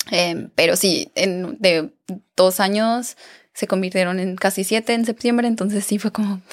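A woman uses a normal speaking voice of medium pitch with ordinary variation, at a fairly slow pace. The recording is very clean, with a silent background. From Mexico, Aguascalientes. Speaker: beauty pageant winner and influencer. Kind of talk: interview.

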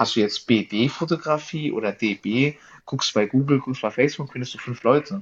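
Against a quiet background, a man with an unremarkable speaking voice talks at a fairly high pitch with lively intonation. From southern Hesse, Germany (Darmstadt). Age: 20s. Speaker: car photographer. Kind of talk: casual chat.

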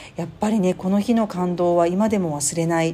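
A woman's fairly low-pitched voice at a fairly quick pace, over background music. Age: 40s. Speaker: podcast host. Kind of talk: personal monologue.

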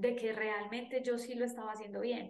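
A woman speaks with a paisa Colombian accent. Room echo can be heard. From Colombia, Antioquia (paisa). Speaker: podcast host and life coach. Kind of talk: personal storytelling monologue.

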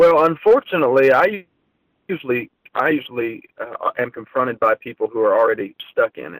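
With an American accent, an unremarkable speaking voice moves at a fairly quick pace in a dry, close sound with no echo. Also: man. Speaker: gospel singer-songwriter. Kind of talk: interview.

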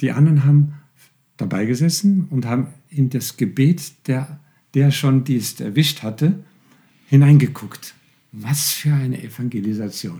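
A man with a fairly high, dark, mellow and somewhat breathy voice speaks fairly slowly, leaving long, frequent pauses. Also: ordinary pitch variation. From Austria, Tyrol. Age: 70s. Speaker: pastor. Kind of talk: interview. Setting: studio.

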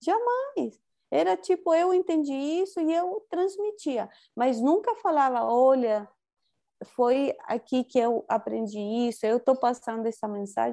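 A woman's high, dark and mellow voice with a Spanish accent, very wide pitch swings and a fairly slow pace, over a quiet background. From Chile. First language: Spanish (speaking Portuguese). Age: 40s. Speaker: spiritual teacher. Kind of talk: interview.

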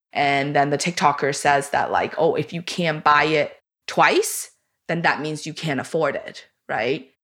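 Over a very clean recording with a silent background, a woman speaks at a fairly slow pace in a very deep, low pitch with fairly even intonation. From China. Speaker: podcast co-host, former financial advisor. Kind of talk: interview, casual chat.

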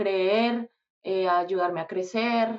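A woman at medium pitch talks with fairly even intonation. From Colombia, Bogotá. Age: 20s. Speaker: singer. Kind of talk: casual interview.

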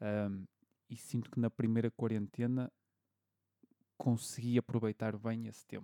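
A man with a European Portuguese accent speaks at medium pitch in a dark, mellow tone, his intonation monotone and flat. Long, frequent pauses break up his speech, and the sound is dry and close with no echo. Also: fairly slow pace. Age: 30s. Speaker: podcast host, bartender. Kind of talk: casual chat.

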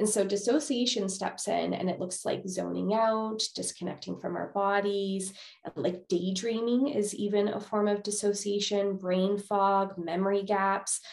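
With a Canadian accent, a woman talks at a moderate pace and medium pitch in an ordinary speaking voice, her intonation fairly even. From Manitoba, Canada. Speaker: psychologist. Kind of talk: interview.

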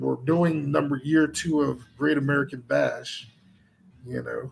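The speaker talks at a very slow pace with long, frequent pauses, in a slight Southern US accent. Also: man. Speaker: podcast and stream host. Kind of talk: casual chat. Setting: studio. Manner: animated.

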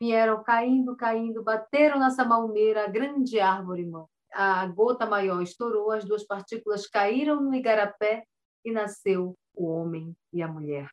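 This woman has an unremarkable speaking voice, pitched fairly high, with ordinary pitch variation. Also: fairly slow pace. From Alto Solimões, Amazonas, Brazil. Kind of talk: interview.

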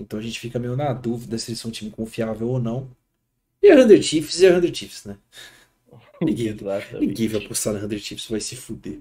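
At a fairly quick pace, a man speaks with a medium pitch, ordinary pitch variation, and long, frequent pauses. His somewhat breathy voice has a dark, mellow tone and big swings in loudness. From Brazil, Osasco (São Paulo area). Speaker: esports podcast host. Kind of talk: casual chat on a live stream. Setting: live stream recorded online.

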